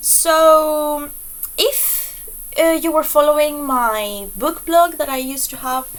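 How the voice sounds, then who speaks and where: A woman's high voice at a very slow pace, with a non-native accent and ordinary pitch variation. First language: not English. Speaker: book reviewer. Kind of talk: casual vlog review. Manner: hesitant, many fillers; enthusiastic.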